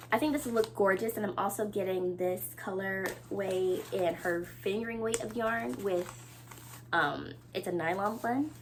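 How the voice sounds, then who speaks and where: A woman with a medium pitch talks at a moderate pace, her pitch swinging very widely. Noticeable background noise runs underneath. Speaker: knitting podcaster. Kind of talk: casual chat. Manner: animated.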